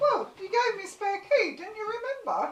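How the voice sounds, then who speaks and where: In a put-on character voice, a woman squeaks at an extremely high pitch with ordinary pitch variation, at a moderate pace, with a slight echo. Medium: stage play. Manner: flustered, indignant.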